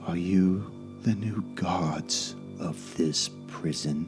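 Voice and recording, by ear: Against clear music in the background, a man in a put-on character voice speaks at a very slow pace with a very deep, low pitch.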